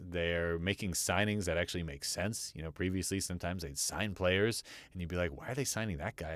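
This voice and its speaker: A man with a very deep, low pitch speaks in an American accent at a fairly quick pace, with ordinary pitch variation. The recording is very clean, with a silent background. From New Jersey, USA. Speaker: voice actor. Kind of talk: casual talk to camera. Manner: conversational, with frequent filler words.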